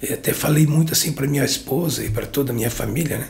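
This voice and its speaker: A man talks over noticeable background noise. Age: 60s. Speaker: pastor and former handball coach. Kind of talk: interview. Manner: halting, filler-heavy speech.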